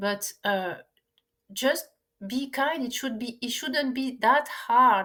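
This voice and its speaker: A woman speaks at a very slow pace in a raised, projected voice with long, frequent pauses. Her high pitch has ordinary variation and a bright, sharp tone. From France. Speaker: spiritual teacher and physicist. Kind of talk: casual podcast conversation.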